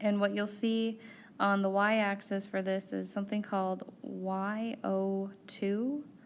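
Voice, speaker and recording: Speaking very slowly in a flat monotone, a woman is heard with audible room echo. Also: medium pitch for a woman. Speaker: university biochemistry lecturer. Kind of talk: recorded lecture. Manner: slow, deliberate; casual with fillers and self-corrections.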